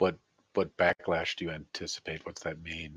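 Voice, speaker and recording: A put-on character voice from a man, moderately paced. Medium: actual play. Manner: formal, measured.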